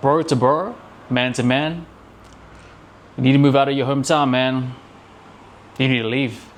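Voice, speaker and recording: At a moderate pace with long, frequent pauses, a man of medium pitch speaks with fairly even intonation amid audible room echo. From New Zealand, Auckland. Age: 30s. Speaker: self-improvement vlogger. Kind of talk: casual motivational talk to camera. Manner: casual, conversational with many fillers.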